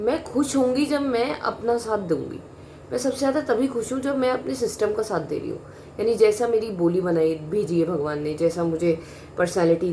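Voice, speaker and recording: With lively intonation and a fairly high pitch, the woman talks at a moderate speed while noticeable background noise plays behind her. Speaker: vlogger. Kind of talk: personal monologue. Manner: blunt, direct.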